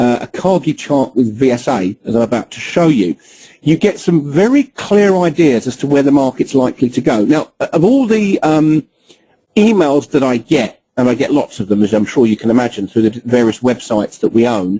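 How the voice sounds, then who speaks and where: Delivered at a moderate pace, this voice swings very widely in pitch, with a dark, mellow tone and a dry, close sound free of any echo. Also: man, fairly high pitch for a man. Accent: British. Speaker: trading educator. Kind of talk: webinar presentation. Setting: online webinar with screen recording.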